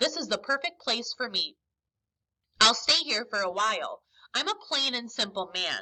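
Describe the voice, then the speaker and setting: A woman puts on a gruff character voice at a high pitch. She keeps a moderate pace. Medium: read story. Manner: gruff, growling.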